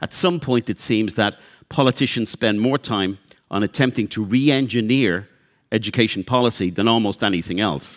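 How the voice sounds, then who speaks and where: Against a quiet background, a man with vocal fry speaks at a moderate pace. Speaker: panel moderator. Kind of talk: panel introduction. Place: hall. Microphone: headset.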